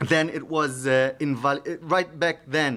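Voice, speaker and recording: A man talks with an Israeli accent. His pitch variation is ordinary. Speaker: security researcher. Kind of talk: conference talk. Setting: stage with audience. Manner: halting, many fillers.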